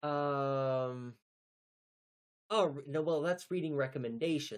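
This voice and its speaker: A mumbling man with a fairly high pitch, ordinary pitch variation and a very slow pace. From North Texas. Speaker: teacher and livestreamer. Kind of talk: casual livestream chat. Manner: hesitant, many fillers and repeats.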